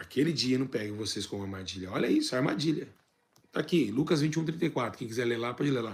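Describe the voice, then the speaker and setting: A man's somewhat breathy, medium-pitched voice at a very fast pace, with lively intonation. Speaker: church teacher. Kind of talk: bible teaching.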